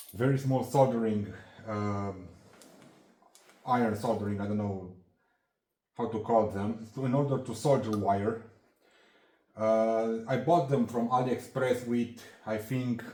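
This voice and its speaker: A man with a non-native accent and a dark, mellow tone, fairly slow with long, frequent pauses, fairly even intonation and audible room echo. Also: medium pitch for a man. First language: not English. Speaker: hobbyist handyman YouTuber. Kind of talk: tool show-and-tell tutorial. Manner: halting, many fillers and restarts.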